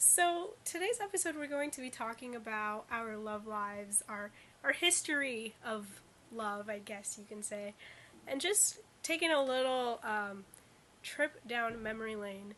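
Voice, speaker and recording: A woman's fairly high voice with lively intonation, a fairly slow pace, and noticeable background noise. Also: big swings in loudness. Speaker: college radio podcast co-host. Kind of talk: casual chat.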